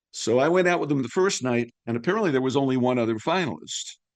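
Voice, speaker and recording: Speaking in an unremarkable speaking voice, a man talks fairly quickly with ordinary pitch variation. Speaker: veteran sports broadcaster, radio play-by-play announcer. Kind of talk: interview answer, storytelling about his career.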